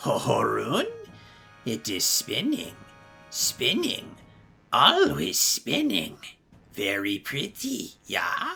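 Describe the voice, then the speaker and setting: In a raspy, put-on character voice, the speaker goes at a very slow pace with long, frequent pauses as faint music plays in the background. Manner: goofy, sing-song.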